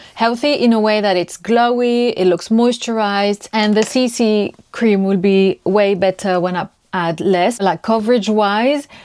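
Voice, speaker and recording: On a very clean recording with a silent background, a woman in a French accent speaks with ordinary pitch variation. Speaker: lifestyle vlogger. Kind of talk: casual vlog talk to camera. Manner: halting, searching for words.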